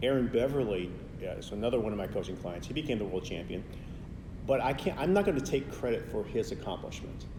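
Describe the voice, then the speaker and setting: Audible room echo surrounds a man speaking with an American accent at a very fast pace. His medium pitch moves in very wide swings. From US, Chicago. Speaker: professional public speaker and speaking coach. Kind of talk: interview. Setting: at a conference.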